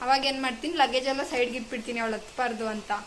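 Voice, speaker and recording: A woman speaks in a high voice with fairly even intonation. Background noise is noticeable. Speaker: vlogger. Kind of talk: casual vlog narration.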